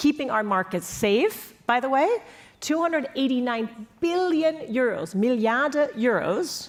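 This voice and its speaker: A woman with an American accent speaks high and animated, her pitch swinging very widely. Her loudness stays very even. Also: fairly slow pace. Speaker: panelist on European security policy. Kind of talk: panel discussion.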